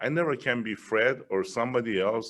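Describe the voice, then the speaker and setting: With a Persian accent, a man talks using lively intonation. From Iran. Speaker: business leader, guest speaker. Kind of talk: interview. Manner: animated.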